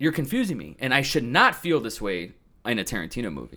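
On a very clean recording with a silent background, a man with vocal fry and a bright, sharp tone uses very wide pitch swings. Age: 30s. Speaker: videographer and director. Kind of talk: casual chat.

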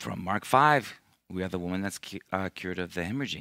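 The man's tone comes across bright and sharp. There is no background sound on this very clean recording. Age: 50s. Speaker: missionary priest. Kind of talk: sermon. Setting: church. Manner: halting.

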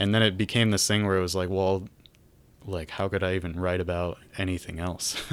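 Flat and monotone, a man talks at a fairly quick pace in a very deep, low voice. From Michigan, US Midwest. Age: 20s. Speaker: rock musician. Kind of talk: casual interview chat.

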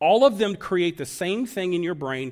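A man's high voice with lively intonation at a moderate pace, on a very clean recording with a silent background. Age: 60s. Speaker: pastor. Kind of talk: sermon. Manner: hesitant with frequent fillers.

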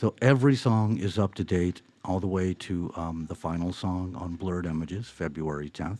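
A man with a very deep, low voice and a dark, mellow tone speaks at a moderate pace. His pitch varies in an ordinary way, he barely pauses, and the background is quiet. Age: 60s. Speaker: singer-songwriter, band frontman. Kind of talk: interview.

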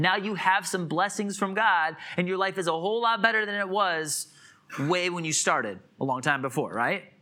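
A man with an American accent uses a raised, projected voice at a moderate pace. His pitch is high, with ordinary variation. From US Midwest (Illinois). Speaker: pastor. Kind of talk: sermon. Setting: church.

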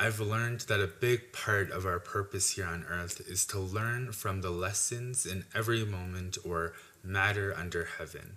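In a bright, sharp tone, a man speaks at a moderate pace with fairly low pitch and fairly even intonation. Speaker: university graduate. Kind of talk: testimony.

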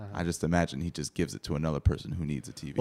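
Very deep, low male voice with vocal fry, ordinary pitch variation, and a dry, close sound with no echo. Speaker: comedy podcast host.

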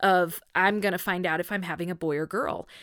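Heard with a dry, close sound and no echo, a woman talks at a moderate pace in an ordinary speaking voice with ordinary pitch variation. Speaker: podcast host. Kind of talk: casual interview.

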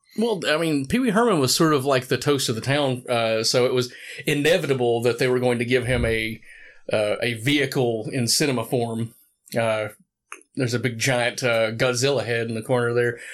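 At a moderate pace and with fairly even intonation, a normal speaking voice comes through a very clean recording with a silent background. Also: man, medium pitch for a man. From US South, Morristown, Tennessee. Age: 30s. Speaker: podcast host. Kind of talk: casual chat.

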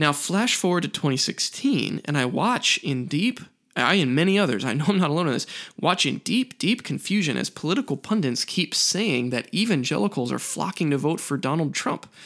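Speaking at a fairly quick pace in an American accent, a man's fairly high voice makes very wide pitch swings in a very clean recording with a silent background. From rural US. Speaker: podcast host. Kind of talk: solo monologue.

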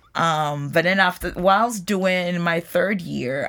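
A woman speaks with vocal fry in a very clean recording with a silent background. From Ghana. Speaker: nutrition professor. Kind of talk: interview.

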